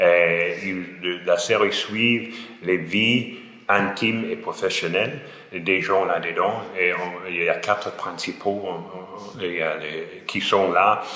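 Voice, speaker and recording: A man with an English accent speaks very slowly at a fairly low pitch with fairly even intonation, with noticeable background noise and audible room echo. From Scotland, Glasgow. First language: English (speaking French). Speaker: French language student. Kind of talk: interview. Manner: halting, with hesitations and repetitions.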